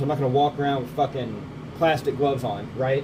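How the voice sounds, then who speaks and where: A man talks at a very fast pace amid noticeable background noise. Audible room echo surrounds his voice. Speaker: bait maker. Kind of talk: casual tutorial. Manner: casual, rambling chatter.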